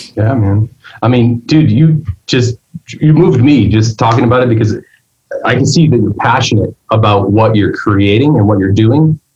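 At a moderate pace, a man speaks with a medium pitch, a somewhat breathy quality, very even loudness, and ordinary pitch variation. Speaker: podcast host; musician. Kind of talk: casual chat.

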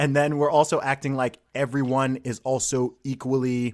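On a very clean recording with a silent background, a man of medium pitch talks at a moderate pace. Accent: American. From Saudi Arabia and UK. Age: 30s. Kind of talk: casual interview chat.

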